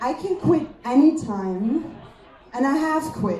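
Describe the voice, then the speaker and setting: A woman's pitch swings very widely. Audible room echo and noticeable background noise surround her voice. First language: German. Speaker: comedian. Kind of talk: stand-up.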